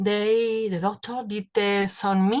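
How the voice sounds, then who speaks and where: Against a quiet background, a woman with a Spanish accent speaks at a medium pitch with fairly even intonation. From Spain. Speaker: cancer survivor. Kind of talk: testimony. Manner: halting.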